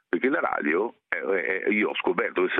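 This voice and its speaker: A man is speaking. He keeps a moderate pace. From central Italy, Lazio (Morlupo near Rome). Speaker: animal handler for film and TV, naturalist. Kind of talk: interview.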